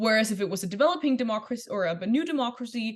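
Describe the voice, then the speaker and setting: A woman talks at a very fast pace in a somewhat breathy voice. Her pitch is fairly high, with ordinary pitch variation. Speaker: debate workshop instructor. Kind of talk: lecture. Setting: workshop.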